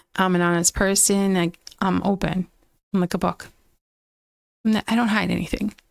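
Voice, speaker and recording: A woman with a medium pitch speaks at a moderate pace in a flat monotone, her loudness very even and her long pauses frequent, recorded with a dry, close sound and no echo. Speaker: podcaster sharing personal abuse story. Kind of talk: personal testimony. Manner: halting, stumbling over words.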